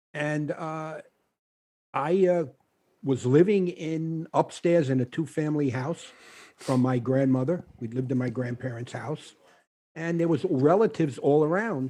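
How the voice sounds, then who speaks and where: Speaking with an American accent, a man has a fairly high pitch and a dark, mellow tone. He talks at a fairly slow pace with long, frequent pauses. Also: ordinary pitch variation. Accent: Brooklyn, comes back stronger at times. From Brooklyn, New York (Bushwick). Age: 70s. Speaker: author. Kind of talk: interview on a podcast. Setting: studio with live audience. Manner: halting, many fillers.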